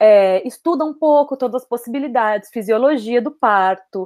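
Her intonation is lively. This woman talks at a fairly slow pace. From Brazil, São Paulo. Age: 20s. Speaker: doula. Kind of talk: casual interview. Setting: video call.

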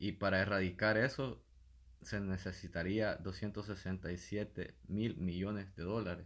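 A man with a Salvadoran accent speaks at a very slow pace. His voice is fairly low, with fairly even intonation. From El Salvador, San Antonio Pajonal. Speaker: podcast co-host. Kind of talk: casual chat.

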